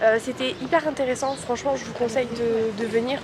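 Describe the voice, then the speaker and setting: Music plays behind the speaker, and audible room echo fills the space. The delivery is at a moderate pace with fairly even intonation. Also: woman. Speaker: travel vlogger. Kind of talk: casual vlog talk to camera. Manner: hesitant with many fillers.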